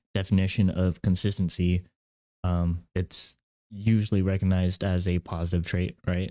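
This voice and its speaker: A man with a very deep, low voice and a dark, mellow tone speaks at a moderate pace in a monotone, flat intonation. The sound is dry and close with no echo, and the recording is very clean with a silent background. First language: not English. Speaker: podcast co-host. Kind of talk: casual chat. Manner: halting.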